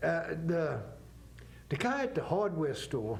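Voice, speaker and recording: A man speaks with a Southern accent. Room echo is audible around his voice. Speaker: author. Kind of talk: TV interview.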